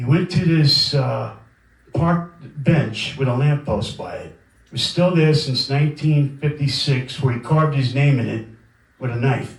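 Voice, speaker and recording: A man in a New York accent talks at a fairly slow pace with a fairly high pitch, ordinary pitch variation and audible room echo. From Brooklyn, New York. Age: 50s. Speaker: record label owner. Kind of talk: guest lecture. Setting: lecture room with audience. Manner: casual, conversational.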